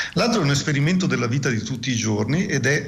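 Noticeable background noise fills the recording. Over it, a man rattles off his words at a very fast pace. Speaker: physics professor. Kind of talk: radio interview.

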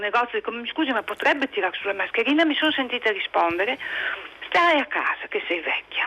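Noticeable background noise sits behind a woman's voice. She talks very fast with lively intonation. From Friuli, Pordenone area. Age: 60s. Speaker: caller. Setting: phone call.

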